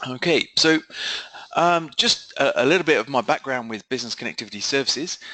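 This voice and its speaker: In a British accent, a man talks at a very fast pace with a bright, sharp tone. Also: dry, close sound with no echo. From UK. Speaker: software company co-founder and webinar presenter. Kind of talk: webinar presentation. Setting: online webinar. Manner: hesitant, many fillers.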